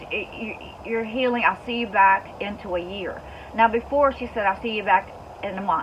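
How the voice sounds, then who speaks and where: A woman talks at a fairly quick pace in a fairly high voice with ordinary pitch variation. Noticeable background noise runs behind her. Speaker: homestead vlogger, breast cancer patient. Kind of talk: personal vlog update. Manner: halting, repetitive.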